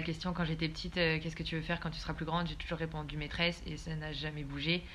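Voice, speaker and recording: A woman with a fairly low pitch talks in a monotone, flat intonation, with audible room echo around her. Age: 20s. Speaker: business student. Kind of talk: casual interview.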